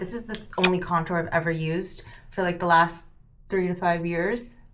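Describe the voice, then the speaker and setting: Audible room echo surrounds this woman's voice. She talks at a moderate pace with a medium pitch. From US West Coast, San Francisco Bay Area. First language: Cantonese. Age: 30s. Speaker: beauty vlogger. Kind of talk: casual get-ready-with-me vlog. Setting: at home.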